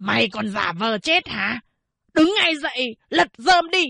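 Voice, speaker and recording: A woman's put-on character voice, hoarse and raspy, shouting in a high pitch with very wide pitch swings at a fairly slow pace. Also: dry, close sound with no echo. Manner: shouting, yelling.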